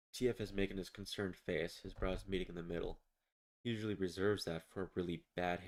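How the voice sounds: The speaker uses a natural reading voice with ordinary pitch variation. The background is quiet.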